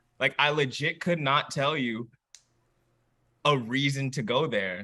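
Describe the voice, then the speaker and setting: A man with an American accent speaks at a fairly slow pace in a bright, sharp tone, his fairly high pitch showing ordinary variation. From Iowa, US Midwest (Waterloo). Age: 20s. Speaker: musician. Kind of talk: casual chat. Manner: halting, filler-heavy.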